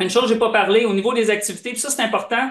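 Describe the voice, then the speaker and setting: His intonation is fairly even as the man speaks. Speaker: software presenter. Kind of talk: product demo.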